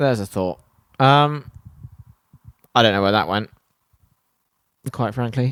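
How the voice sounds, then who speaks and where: The speaker has an English accent and a relaxed tone, with very wide pitch swings. The sound is dry and close, with no echo. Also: man. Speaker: podcast host. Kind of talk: podcast outro monologue. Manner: rambling, relaxed.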